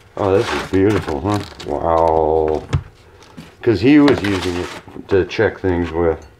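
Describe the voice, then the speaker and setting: A man talks at a fairly slow pace in a very deep, low voice with ordinary pitch variation. Background noise is noticeable. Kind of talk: casual vlog chat. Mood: pleased, laughing. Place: workshop. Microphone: camera far.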